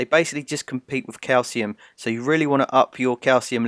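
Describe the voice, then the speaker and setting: With a British accent, a man speaks at a very fast pace. The recording is very clean, with a silent background and a dry, close sound with no echo. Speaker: home cooking vlogger. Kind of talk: tutorial. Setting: home kitchen.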